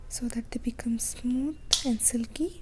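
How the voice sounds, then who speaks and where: Someone whispers at a fairly slow pace. Noticeable background noise sits behind the voice. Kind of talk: ASMR whispering intro. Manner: whispered.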